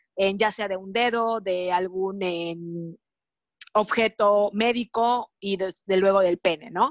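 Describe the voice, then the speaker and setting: At a very slow pace, a woman speaks with fairly even intonation and a medium pitch. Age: 30s. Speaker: sexologist and mother. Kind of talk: podcast interview.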